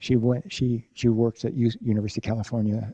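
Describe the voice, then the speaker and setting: A man with an American accent speaks at a fairly quick pace in a fairly low pitch, somewhat breathy, with a dark, mellow tone. The sound is dry and close with no echo. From US Pacific Northwest, Olympia, Washington. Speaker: professor. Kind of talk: lecture. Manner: halting.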